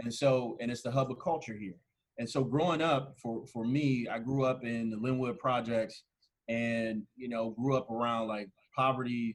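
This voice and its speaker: In a plain, everyday voice, a man speaks at a moderate pace with a medium pitch and fairly even intonation. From Ohio, Canton. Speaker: urban planner. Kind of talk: podcast interview.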